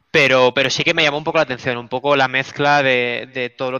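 A man's unremarkable speaking voice at a medium pitch and moderate pace. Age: 20s. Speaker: esports team co-founder. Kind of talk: interview.

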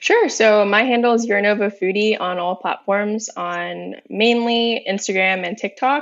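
A woman with an American accent talks at a fairly slow pace with hardly any pauses. Hers is a plain, everyday voice, medium in pitch with fairly even intonation. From Northern Virginia, US. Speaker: food influencer. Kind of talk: casual interview. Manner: giggly.

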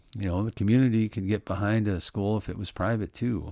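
A man's fairly low, normal speaking voice at a moderate pace, with fairly even intonation, in a dry, close sound with no echo on a very clean recording with a silent background. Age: 50s. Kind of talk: Bible teaching talk. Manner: casual, conversational.

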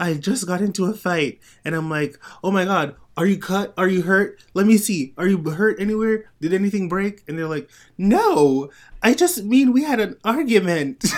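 This soft-spoken man has a high-pitched voice. He talks at a moderate pace with lively intonation. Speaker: podcast host. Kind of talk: casual chat. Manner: soft-spoken in real life; projects more on the show.

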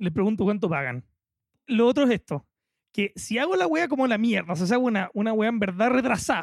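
A man with a Chilean accent talks fairly quickly in a high pitch with lively intonation, very even loudness, and a dry, close sound with no echo. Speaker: podcast co-host. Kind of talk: casual chat.

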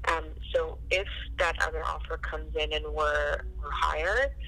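A woman is heard against noticeable background noise. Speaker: real estate agent.

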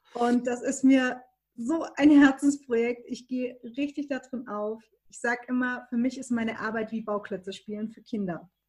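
A woman talks at a high pitch with fairly even intonation, her loudness swinging widely. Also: moderate pace. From Baden-Württemberg, Germany. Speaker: graphic and web designer. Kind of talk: interview conversation.

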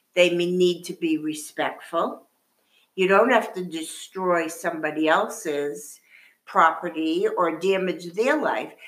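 Speaking at a very slow pace, a woman uses a fairly low pitch with ordinary pitch variation. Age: 60s. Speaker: retired grandmother. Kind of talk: casual chat.

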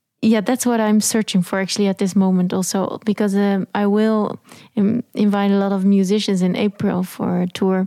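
A woman with a Dutch accent speaks at medium pitch and a moderate pace, her dark, mellow tone flat and monotone, her loudness very even, the sound dry and close with no echo in a very clean recording with a silent background. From southern Netherlands. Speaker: jazz vocalist. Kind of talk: interview. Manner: halting.

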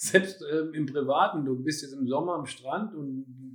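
A man speaks at a fairly slow pace with fairly high pitch in an unremarkable speaking voice. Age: 50s. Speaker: personal trainer. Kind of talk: casual chat. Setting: at the trainer's place.

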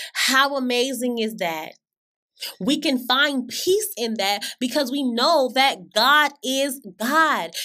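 With an American accent, a woman uses a raised, projected voice that is high-pitched, bright and sharp in tone, moving at a very slow pace. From Florida. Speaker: podcast host giving sermons. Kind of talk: sermon.

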